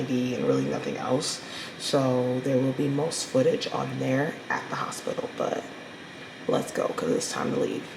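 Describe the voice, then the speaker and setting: Moderate-paced speech from a woman, with audible room echo and noticeable background noise. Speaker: vlogger sharing personal health update. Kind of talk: casual vlog diary. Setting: hospital.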